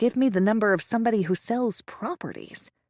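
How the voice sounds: This is a natural reading voice that has ordinary pitch variation.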